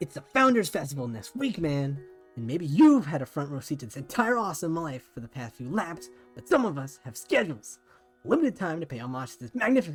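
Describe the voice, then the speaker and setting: A man puts on a strained character voice at a fairly high pitch. He talks at a fairly quick pace over music in the background. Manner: strained, put-on voice.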